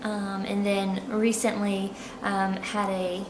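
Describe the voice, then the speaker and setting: A woman speaks with a South Carolina accent at a medium pitch. The room echo is audible and background noise is noticeable. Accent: Southern US (South Carolina). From US South, Charleston, South Carolina. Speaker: expat interviewee. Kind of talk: interview. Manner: hesitant, many fillers.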